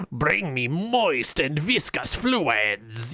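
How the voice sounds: A put-on character voice with very wide pitch swings, over light background noise. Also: man, fairly high pitch for a man.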